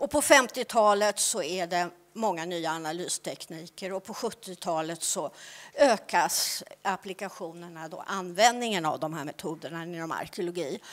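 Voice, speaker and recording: With a plain, everyday voice, a woman speaks at a fairly slow pace with big swings in loudness. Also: fairly low pitch for a woman, ordinary pitch variation. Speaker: archaeology researcher and lecturer; lecturer. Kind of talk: conference presentation. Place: hall. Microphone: handheld.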